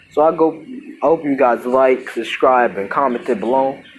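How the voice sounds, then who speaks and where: A man of medium pitch, with noticeable background noise. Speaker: YouTuber telling a fan-fiction story. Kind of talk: casual storytelling narration. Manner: halting, self-correcting.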